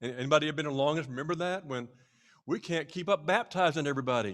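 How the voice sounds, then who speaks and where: A man talking at a very fast pace on a very clean recording with a silent background. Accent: American. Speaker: pastor. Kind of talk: speech to church leadership retreat. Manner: animated.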